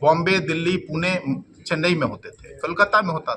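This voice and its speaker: The voice is raised and projected, with a Bihari accent. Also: man. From Bhojpur region, Bihar. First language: Bhojpuri (speaking Hindi). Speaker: politician. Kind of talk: press conference statement.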